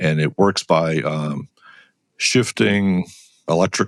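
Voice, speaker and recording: In a dry, close recording with no echo, a man with an American accent speaks in a very deep, low voice with vocal fry. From US Northeast, Connecticut. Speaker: engineer and professor. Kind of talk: interview. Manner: hesitant, many fillers.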